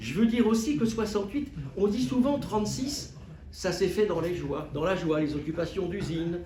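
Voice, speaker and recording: Audible room echo surrounds a man who talks at a fairly slow pace with very wide pitch swings. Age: 70s. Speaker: trade union activist. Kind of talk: closing remarks at a public debate. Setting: conference hall with audience. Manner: hesitant, with many fillers.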